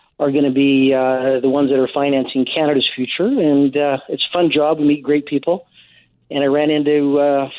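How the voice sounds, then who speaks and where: The man has an unremarkable speaking voice, pitched fairly high. He talks at a fairly quick pace. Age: 60s. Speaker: investment firm head, former political candidate. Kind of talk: radio interview.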